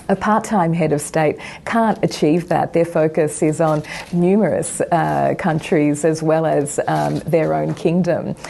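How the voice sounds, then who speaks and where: A woman with an Australian accent speaks at a fairly slow pace and very even loudness, with noticeable background noise behind her. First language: not English. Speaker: republican campaign leader. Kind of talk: TV news interview.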